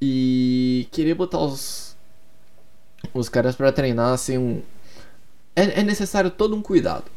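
A man's dark, mellow voice at a medium pitch, with lively intonation, a fairly slow pace and long, frequent pauses. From Curitiba, Brazil. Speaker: sports podcaster. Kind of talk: solo podcast monologue. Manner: casual, hesitant with repetitions.

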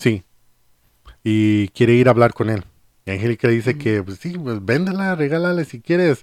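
Long, frequent pauses break up speech at a moderate pace with very wide pitch swings, in a dry, close sound with no echo. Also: man, medium pitch for a man. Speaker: podcast host. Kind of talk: casual chat.

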